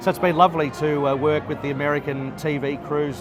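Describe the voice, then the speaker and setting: Over noticeable background noise, a man with an Australian accent talks at a very fast pace, at a medium pitch with fairly even intonation. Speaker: race caller. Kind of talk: interview answer. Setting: bar at a racetrack.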